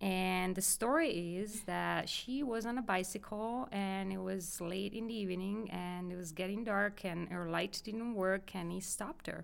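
A woman with an Italian accent, medium pitch, ordinary pitch variation and a fairly slow pace. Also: hardly any pauses. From northern Italy, near Milan. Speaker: geology professor. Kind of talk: interview.

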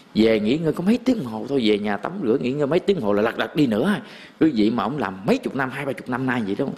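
A man at a very fast pace, medium-pitched with lively intonation, over noticeable background noise. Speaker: Buddhist monk giving a dharma talk. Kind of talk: sermon. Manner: casual, conversational.

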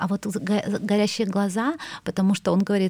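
In a dark, mellow tone at a medium pitch, a woman speaks on a very clean recording with a silent background. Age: 40s. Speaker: cultural manager. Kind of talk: interview. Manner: halting, many fillers.

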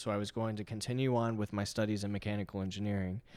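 With a fairly low pitch and fairly even intonation, a man speaks in a normal speaking voice on a very clean recording with a silent background. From Texas (from age 15; earlier abroad). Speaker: magazine founder and entrepreneur. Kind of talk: casual interview.

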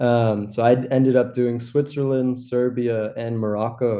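A man speaks with a Californian accent and a dark, mellow tone. His intonation is monotone and flat. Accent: Californian American English. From Los Angeles, US. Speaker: graphic designer. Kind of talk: interview. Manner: casual, with many fillers.

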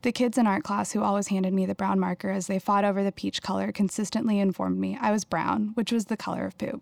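Hardly pausing, someone with an American accent races along at a very fast pace with fairly even intonation, in a dry, close sound with no echo. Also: woman, medium pitch for a woman. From Houston, Texas. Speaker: writer and artist. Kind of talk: reading aloud.

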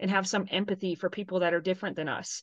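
A woman with a plain, everyday voice speaks at a medium pitch with ordinary pitch variation against a quiet background. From Texas. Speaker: soccer referee. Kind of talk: interview.

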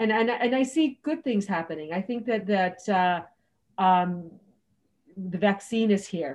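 At a fairly slow pace, a woman with an American accent speaks in a medium pitch with lively intonation over a quiet background. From US, California (Los Angeles), Mexican American. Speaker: former Hong Kong expat. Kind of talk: casual chat.

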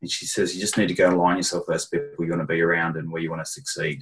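The recording is very clean with a silent background as a man talks in an Australian accent. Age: 40s. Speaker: personal trainer and fitness business consultant. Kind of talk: casual interview.

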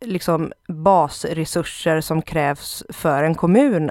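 This woman's voice has a fairly low pitch. She talks at a very slow pace. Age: 30s. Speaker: left-wing party official. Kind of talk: interview.

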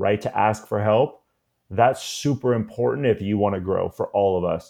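A plain, everyday voice from a man, medium-pitched, with fairly even intonation and a moderate pace. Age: 40s. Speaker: college admissions consultant. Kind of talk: interview. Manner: casual.

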